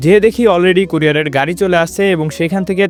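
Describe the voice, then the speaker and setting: Music plays in the background as a man speaks in a high voice. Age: 20s. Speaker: vlogger. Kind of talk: vlog narration.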